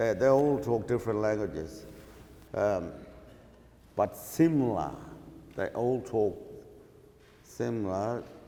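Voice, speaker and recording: Speaking very slowly with long, frequent pauses, a man with a medium pitch and a dark, mellow tone uses ordinary pitch variation in a room with audible echo. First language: Yolngu Matha. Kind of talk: lecture conversation. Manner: halting.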